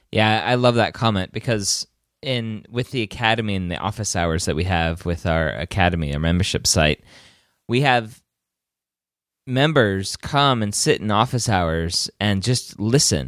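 In a very clean recording with a silent background, a man with an American accent speaks in an unremarkable speaking voice, fairly low in pitch, with lively intonation at a moderate pace. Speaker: podcast host. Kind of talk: scripted intro then casual interview.

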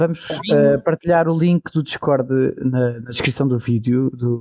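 A man talks in a plain, everyday voice at medium pitch, his intonation fairly even. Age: 30s. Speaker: podcast co-host, nurse. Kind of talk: casual chat.

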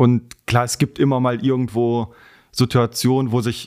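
A man's fairly slow speech in a dry, close sound with no echo. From western Germany, Heinsberg area (North Rhine-Westphalia). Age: 20s. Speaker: racing driver and motorsport sales employee. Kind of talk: podcast interview. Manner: hesitant with frequent fillers.

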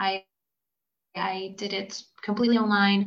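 Speaking with a Hungarian accent, a woman talks at a fairly slow pace in a medium pitch with monotone, flat intonation. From Hungary. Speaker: graduate student. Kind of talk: casual interview.

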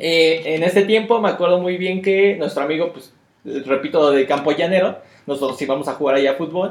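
Speaking at a fairly quick pace, a man with an ordinary speaking voice and fairly high pitch shows ordinary pitch variation. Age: 30s. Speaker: card game player, co-host. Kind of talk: casual chat.

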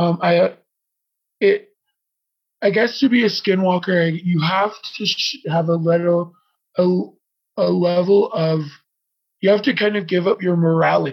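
A man with an American accent speaks in a high pitch at a fairly slow pace. His intonation is fairly even, broken by long, frequent pauses. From Navajo reservation, US Southwest. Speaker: interview guest. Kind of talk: interview. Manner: halting, many fillers.

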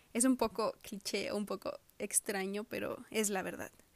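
A woman speaks at a fairly slow pace in a fairly high pitch. The sound is dry and close, with no echo. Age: 20s. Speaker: podcaster. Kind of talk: personal monologue. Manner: halting.

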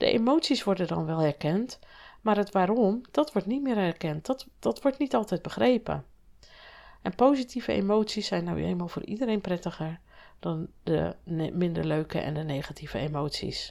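A medium-pitched woman at a moderate pace with very wide pitch swings, on a very clean recording with a silent background. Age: 50s. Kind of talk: solo podcast monologue.

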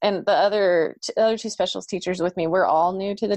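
This woman has a plain, everyday voice with an American accent at a medium pitch. She talks at a fairly quick pace with lively intonation. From Oklahoma. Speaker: elementary music teacher. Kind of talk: casual chat.

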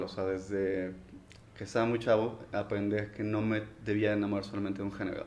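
A fairly low-pitched man at a fairly quick pace, with audible room echo. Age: 30s. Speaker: office administrator. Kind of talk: casual chat.

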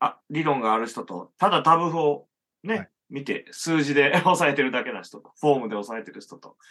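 This man's fairly high, bright and sharp voice moves at a moderate pace, with big swings in loudness. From Japan, rural Hyogo near Okayama. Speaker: musician and illustrator. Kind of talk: casual chat.

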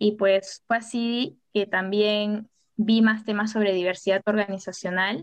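A woman speaks at a medium pitch in a flat monotone. The sound is dry and close, with no echo. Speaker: psychology student, social entrepreneur. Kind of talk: casual panel chat.

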